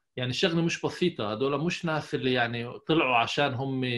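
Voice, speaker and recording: Against a quiet background, a man's pitch shows ordinary variation. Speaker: psychologist; podcast guest. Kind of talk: interview. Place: office. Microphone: earbuds.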